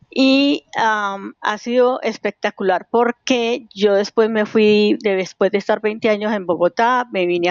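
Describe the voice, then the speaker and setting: Fairly slow speech from a woman in a normal speaking voice, fairly high-pitched, with ordinary pitch variation. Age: 60s. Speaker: cycling activist, collective founder. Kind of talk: interview.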